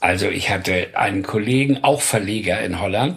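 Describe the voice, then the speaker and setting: A fairly low, somewhat breathy male voice with a northern German accent, lively intonation and a moderate pace. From Hamburg, northern Germany. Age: 70s. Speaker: music producer. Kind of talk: interview storytelling.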